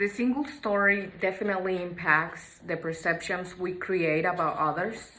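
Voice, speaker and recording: Through audible room echo, a woman with a Mexican accent speaks at a moderate pace in a medium pitch with ordinary pitch variation. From Mexico. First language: Spanish. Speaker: student. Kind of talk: class assignment reflection.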